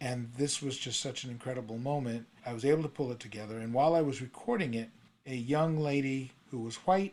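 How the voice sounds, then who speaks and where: With an American accent and a normal speaking voice, the speaker talks at a fairly quick pace with ordinary pitch variation. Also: man, medium pitch for a man. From New York City. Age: 60s. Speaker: songwriter and retired prosecutor's office worker. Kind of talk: interview conversation.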